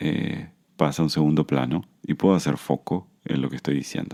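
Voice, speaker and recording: The voice belongs to a man. It sounds very deep and low in pitch. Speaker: podcast host, Buddhism and anxiety teacher. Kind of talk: podcast monologue, self-help talk. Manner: hesitant fillers; slowing down, calmer pace.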